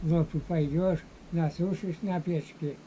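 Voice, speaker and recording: The voice stays monotone, with flat intonation. It moves at a very slow pace. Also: man. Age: 80s+. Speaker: elderly villager. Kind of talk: interview answer.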